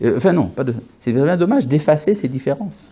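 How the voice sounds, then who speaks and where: A man speaks in a Hebrew accent with a dark, mellow tone and a somewhat breathy quality. His pitch swings very widely. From born in Algeria. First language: Hebrew (speaking French). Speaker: rabbi. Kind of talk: lecture. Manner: halting, with hesitations.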